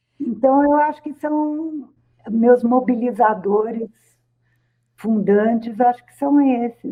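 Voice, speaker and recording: A woman's fairly high voice at a very slow pace. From Brazil, rural São Paulo region. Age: 60s. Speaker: professor and psychologist. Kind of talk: radio interview.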